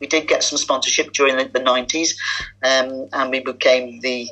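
Noticeable background noise sits behind the speech. A woman with a very deep, low voice talks at a moderate pace. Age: 70s. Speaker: women's cricket league president. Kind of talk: interview.

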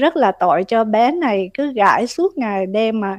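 A woman speaks at a very slow pace with very wide pitch swings. The sound is dry and close with no echo, over a quiet background. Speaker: radio co-host. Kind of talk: casual chat.

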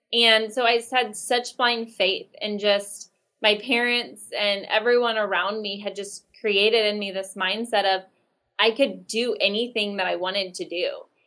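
A woman with an American accent speaks at a moderate pace in a fairly high pitch. Her tone is bright and sharp, and her intonation stays fairly even. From Oklahoma City, Oklahoma. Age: 30s. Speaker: real estate team owner. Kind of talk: interview.

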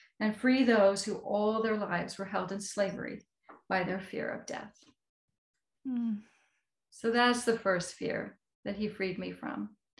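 In an American accent, a somewhat breathy woman speaks at a fairly slow pace and a medium pitch, with fairly even intonation and long, frequent pauses. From United States. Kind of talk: interview.

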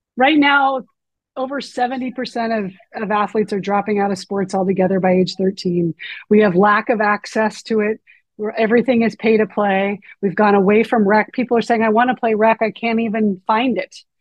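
The woman has an unremarkable speaking voice at a fairly high pitch. She keeps a moderate pace and fairly even intonation. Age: 50s. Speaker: author and youth sports coach. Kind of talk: interview conversation.

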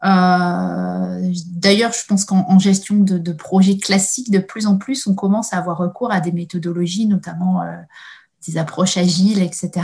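At a moderate pace, a woman speaks with a dark, mellow, somewhat breathy tone, medium pitch and fairly even intonation. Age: 30s. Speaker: innovation adviser at a research agency. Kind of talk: interview. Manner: halting, many hesitations.

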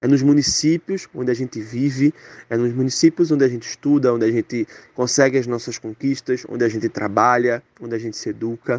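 Speaking at a fairly quick pace with a Pernambuco accent, a man keeps a medium pitch and fairly even intonation, in a dry, close sound with no echo. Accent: Pernambuco Brazilian Portuguese. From Pernambuco, Brazil (Zona da Mata Sul). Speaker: communications professional, former student. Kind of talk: interview testimony. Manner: casual, with repeated fillers.

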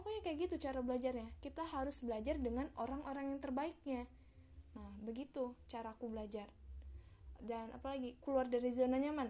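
Talking at a fairly quick pace, a woman with a high pitch and ordinary pitch variation is heard over noticeable background noise. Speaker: solo podcaster. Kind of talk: motivational monologue. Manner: casual, chatty; emotive, expressive.

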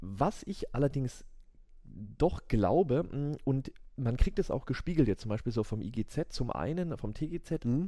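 Very slow and dark, mellow in tone, a man's medium-pitched voice moves through very wide pitch swings. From Würzburg, Franconia, Germany. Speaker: business lawyer. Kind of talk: casual interview chat. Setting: law office, late at night.

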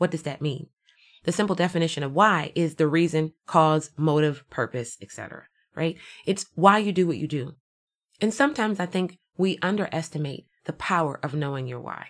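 A woman with a normal speaking voice talks at a moderate pace and a fairly low pitch with ordinary pitch variation, on a very clean recording with a silent background. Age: 40s. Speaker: motivational podcast host. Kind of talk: motivational monologue.

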